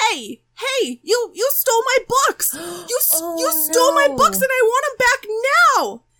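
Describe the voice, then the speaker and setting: A woman does a squeaky put-on character voice at an extremely high pitch, talking at a fairly slow pace. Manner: indignant, demanding.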